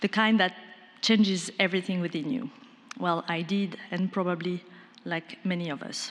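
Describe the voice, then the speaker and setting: Speaking with a French accent at a moderate pace, the voice keeps fairly even intonation and leaves long, frequent pauses. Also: woman, medium pitch for a woman. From France. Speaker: film producer. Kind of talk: pitch presentation.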